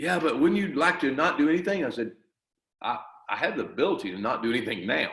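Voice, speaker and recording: Speaking at a very fast pace, a man uses a fairly high pitch with very wide pitch swings and vocal fry. Audible room echo fills the recording. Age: 60s. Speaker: martial arts grandmaster and school owner. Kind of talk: interview.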